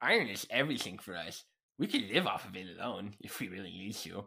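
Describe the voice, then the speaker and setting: A put-on character voice at a very fast pace. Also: man, fairly low pitch for a man. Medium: audio drama. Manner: formal.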